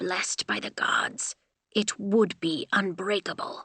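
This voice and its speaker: A woman growls through a put-on character voice at a medium pitch. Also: fairly slow pace. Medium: read story. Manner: stern, terse.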